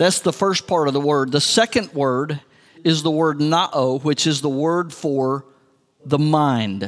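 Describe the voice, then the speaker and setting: This man talks at a very slow pace with a West Texas accent. His pitch varies in an ordinary way, and his loudness stays very even. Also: fairly high pitch for a man. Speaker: pastor. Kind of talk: sermon.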